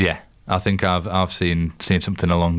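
With a Yorkshire accent, a man talks at a fairly quick pace in a very deep, low pitch, recorded very cleanly over a silent background. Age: 20s. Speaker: radio co-host. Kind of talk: casual chat. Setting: studio.

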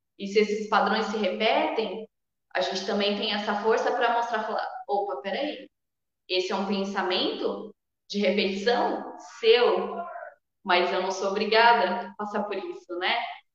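Fairly slow and fairly even in intonation, a woman speaks at a medium pitch in an unremarkable speaking voice. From Brazil, Sorocaba (São Paulo state). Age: 20s. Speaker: shamanic spiritual leader. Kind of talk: interview conversation.

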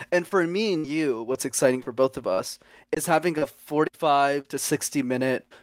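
In an unremarkable speaking voice, a man talks at a moderate pace with ordinary pitch variation, recorded very cleanly against a silent background with a dry, close sound and no echo. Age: 20s. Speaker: communication coach and YouTuber. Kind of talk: casual chat.

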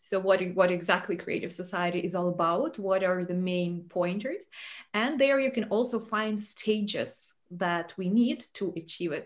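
A woman speaks with a normal speaking voice at a medium pitch. Her pace is moderate and her pitch variation ordinary. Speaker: live stream host. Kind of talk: hosted live interview. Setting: online video broadcast. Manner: formal.

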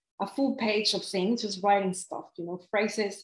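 This woman has a Mexican accent and a medium pitch. She talks at a moderate pace with ordinary pitch variation. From Mexico City. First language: Spanish. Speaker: life coach and author. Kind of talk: casual interview chat. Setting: video call.

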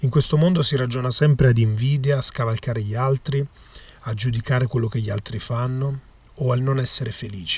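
A man talks fairly quickly in an ordinary speaking voice. His pitch is medium and his intonation fairly even. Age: 20s. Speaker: magician and podcaster. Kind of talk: motivational monologue.

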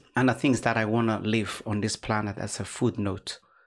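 On a very clean recording with a silent background, a man with a Somali accent speaks in a fairly low pitch with monotone, flat intonation. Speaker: life coach and community activist. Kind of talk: interview conversation. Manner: formal, lecturing, mentor-like.

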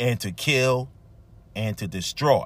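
Very slowly, a man with a fairly high pitch speaks in a bright, sharp tone on a very clean recording with a silent background. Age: 50s. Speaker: podcast host, lay preacher. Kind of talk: devotional sermon. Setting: live streamed broadcast.

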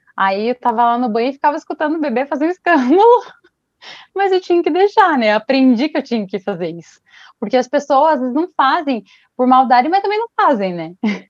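In a dry, close sound with no echo, a woman talks at a very fast pace, her high pitch making very wide swings. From Brazil, Paraná (Ponta Grossa). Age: 20s. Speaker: fashion designer and artisan, single mother. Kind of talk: casual interview.

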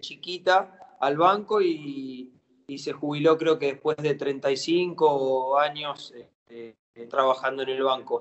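This man's voice is fairly high. He talks very slowly. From Argentina, Campana (Buenos Aires province). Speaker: professional footballer. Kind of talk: interview. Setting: phone or video call. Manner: halting, repeats words.

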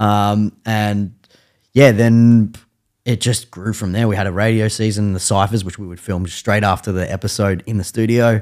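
With an Australian accent, a man speaks at a fairly low pitch and moderate pace in a monotone, flat delivery on a very clean recording with a silent background. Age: 30s. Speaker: music media founder. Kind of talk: casual chat.

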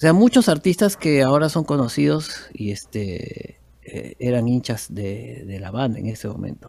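This man talks at a fairly slow pace with hardly any pauses, very wide pitch swings and big swings in loudness. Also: medium pitch for a man. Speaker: musician. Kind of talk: interview.

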